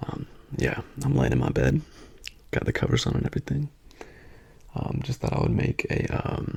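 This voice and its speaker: A soft-spoken man whispering at a moderate pace in a relaxed tone, with long, frequent pauses and noticeable background noise. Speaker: ASMR creator. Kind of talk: casual ramble to camera. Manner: soft-spoken, whispery, relaxed.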